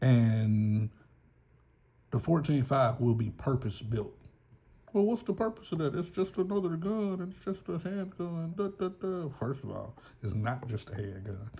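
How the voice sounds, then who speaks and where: A man's fairly high voice in a Southern US accent, dark and mellow in tone, somewhat breathy, with very wide pitch swings and a fairly slow pace. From US South. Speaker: gun channel YouTuber. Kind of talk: casual vlog monologue. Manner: rambling, casual.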